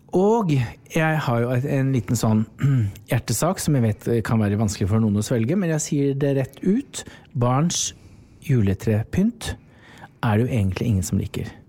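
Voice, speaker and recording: His voice is medium in pitch, with a dark, mellow tone and very even loudness. The man talks at a fairly slow pace, his intonation lively. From Norway, rural farm upbringing. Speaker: interior design podcast co-host. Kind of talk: casual chat.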